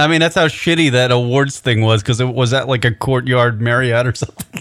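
A man with an American accent and an unremarkable speaking voice talks fairly quickly at a medium pitch, with ordinary pitch variation. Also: very even loudness. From New York, Long Island. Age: 40s. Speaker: radio host. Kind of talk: casual chat. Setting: studio.

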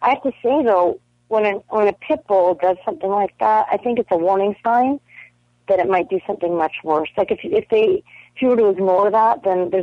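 This woman's voice sits at a medium pitch. She talks at a fairly quick pace with lively intonation. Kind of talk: casual chat. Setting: phone call. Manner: animated.

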